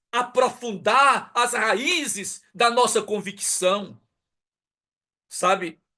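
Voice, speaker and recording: This man's voice is high-pitched, raised and projected. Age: 60s. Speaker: pastor. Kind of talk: sermon. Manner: emphatic, repetitive rhetorical questions.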